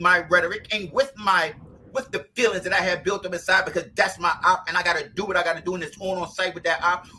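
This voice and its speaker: Here a man speaks. He raises and projects his voice. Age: 50s. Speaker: podcast host. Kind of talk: casual chat. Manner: fast.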